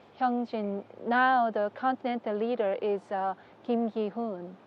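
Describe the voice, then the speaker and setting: Pitched fairly high, a woman speaks with a Korean accent. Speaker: religious leader's wife. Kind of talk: interview. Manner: halting.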